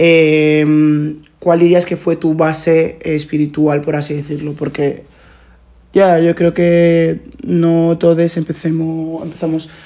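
A woman's very deep, low, dark and mellow voice, monotone and flat, at a very slow pace. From Nigeria. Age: 20s. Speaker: podcast host. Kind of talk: casual chat. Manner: code-switching Spanish and English.

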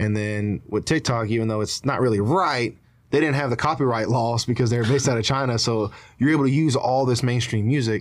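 Recorded very cleanly against a silent background, a man speaks in a normal speaking voice at medium pitch and a fairly quick pace. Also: ordinary pitch variation. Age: 20s. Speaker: social media content creator. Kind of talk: casual chat. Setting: studio.

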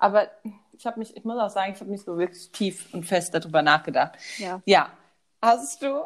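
At a moderate pace, a woman talks at a medium pitch on a very clean recording with a silent background. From Germany, Westerwald. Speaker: podcast co-host. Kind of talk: casual chat.

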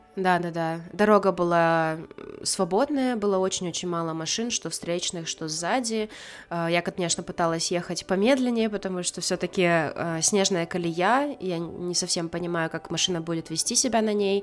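At a moderate pace, a woman with a fairly low pitch and ordinary pitch variation speaks in an unremarkable speaking voice. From Karelia, Russia. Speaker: podcast co-host. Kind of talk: casual chat.

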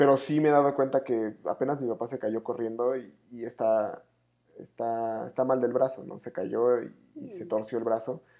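In an unremarkable speaking voice, a man talks at medium pitch and a moderate pace, with fairly even intonation and big swings in loudness. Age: 20s. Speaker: podcast co-host. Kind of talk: casual chat.

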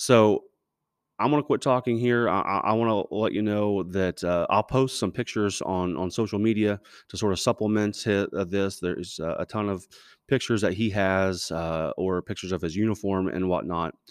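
A man's normal speaking voice at a fairly low pitch, with ordinary pitch variation and a moderate pace, dry and close with no echo over a quiet background. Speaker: podcast host and teacher, interviewing his grandfather. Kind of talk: casual podcast intro and interview.

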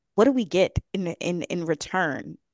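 In a quiet background, a woman speaks fairly slowly with an animated tone. Her fairly low pitch swings very widely. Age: 20s. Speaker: podcast host, youth policy consultant. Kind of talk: interview.

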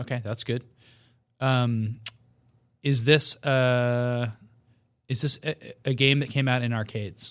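Speaking at a very slow pace with long, frequent pauses, a man holds a medium pitch and a monotone, flat intonation on a very clean recording with a silent background. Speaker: podcast co-host. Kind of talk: casual chat.

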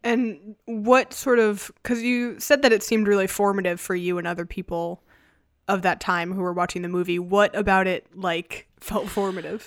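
A woman talks in a normal speaking voice at a moderate pace. Her medium pitch varies in an ordinary way. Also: very clean recording, silent background. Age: 20s. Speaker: podcast host. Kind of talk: casual chat.

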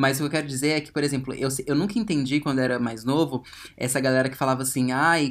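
A man speaks at a very fast pace. His tone is animated. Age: 20s. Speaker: actor and podcast co-host. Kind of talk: casual chat.

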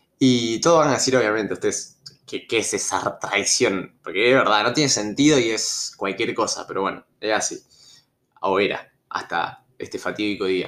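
A man with an Argentine accent talks at a moderate pace. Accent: Rioplatense Argentine Spanish. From Argentina, Rosario (Santa Fe). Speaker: storytelling youtuber. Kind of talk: casual storytelling monologue. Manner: hesitant, many fillers.

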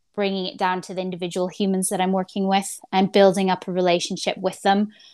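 The speech moves at a fairly quick pace in a very clean recording with a silent background. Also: woman. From rural Canada. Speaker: head of a spaceport. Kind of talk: casual interview.

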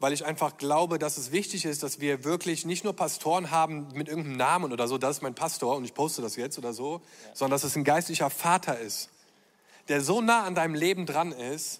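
A man talks at a fairly quick pace in a normal speaking voice. His pitch is fairly high with ordinary variation, on a very clean recording with a silent background. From Germany (born Düsseldorf). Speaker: pastor. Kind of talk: conference stage panel talk. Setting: stage with audience.

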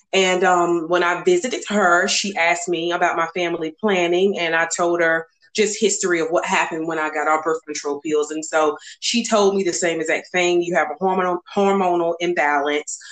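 With a Southern US accent, a woman speaks at a fairly low pitch and fairly even intonation. She barely pauses at all. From US South, North Carolina. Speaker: guest sharing infertility story. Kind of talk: interview testimony.

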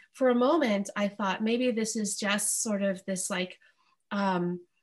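A woman speaks in a somewhat breathy voice at a fairly slow pace against a quiet background. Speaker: returning guest. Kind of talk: casual chat.

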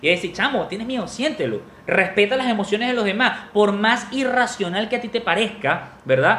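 An animated tone with hardly any pauses over noticeable background noise. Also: moderate pace. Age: 30s. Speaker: podcast host. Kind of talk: closing message; casual chat.

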